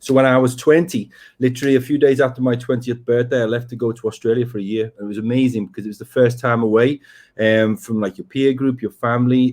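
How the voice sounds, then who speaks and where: On a very clean recording with a silent background, a man talks at a very fast pace, his medium-pitched voice showing ordinary pitch variation. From northern England, Liverpool area. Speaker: breath coach. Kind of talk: interview. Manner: hesitant, with many fillers.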